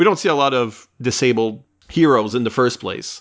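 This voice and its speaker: A man with an unremarkable speaking voice talks at a medium pitch and a moderate pace. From French Canada. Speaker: podcast host. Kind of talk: casual chat.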